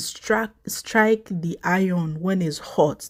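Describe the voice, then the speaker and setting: Her pitch varies in an ordinary way. This woman's recording is very clean, with a silent background. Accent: non-native. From Africa. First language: not English. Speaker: YouTuber commenting on news. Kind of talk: casual commentary vlog. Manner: halting, with fillers.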